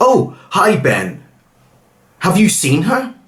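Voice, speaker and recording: A man puts on a character voice. He pitches it high. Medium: read story.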